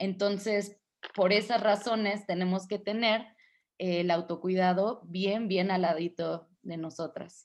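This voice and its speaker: A woman with an unremarkable speaking voice talks at a medium pitch. Her pace is fairly slow and her intonation fairly even. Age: 20s. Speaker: feminist activist and radio host. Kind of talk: interview.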